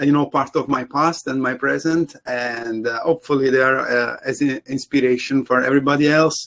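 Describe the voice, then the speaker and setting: Speaking at a moderate pace, this man has a fairly high pitch. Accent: Italian. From Italy. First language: Italian. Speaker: CG supervisor and lighting artist panelist. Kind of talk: panel presentation.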